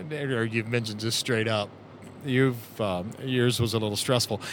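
A man with a normal speaking voice at a medium pitch. He talks at a fairly slow pace, with ordinary pitch variation. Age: 50s. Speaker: podcast host. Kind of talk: casual chat. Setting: in a car.

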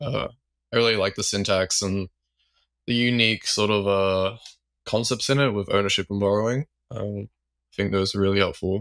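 A man with an unremarkable speaking voice, fairly low in pitch, with fairly even intonation. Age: 20s. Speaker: web3 software developer. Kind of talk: casual chat.

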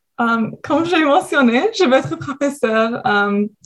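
A woman with an English Canadian accent. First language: English (speaking French). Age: 20s. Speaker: university student. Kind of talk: radio interview.

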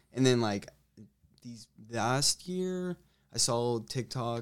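A man at a fairly slow pace, medium in pitch, an ordinary speaking voice, on a very clean recording with a silent background. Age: young. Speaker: college lacrosse player. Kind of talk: casual interview.

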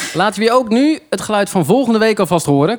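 Very fast, lively male speech set against noticeable background noise. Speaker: car journalist. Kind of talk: casual chat. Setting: bar of a kart track.

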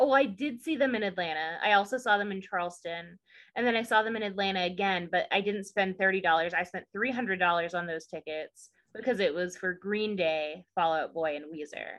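Speaking with a Southern US accent, a woman keeps a moderate pace and a medium pitch with ordinary pitch variation. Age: 20s. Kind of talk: casual chat recap.

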